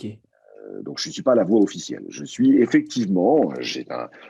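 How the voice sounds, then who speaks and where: A man speaks in a dark, mellow tone. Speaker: voice actor; stage and film actor. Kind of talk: interview answer.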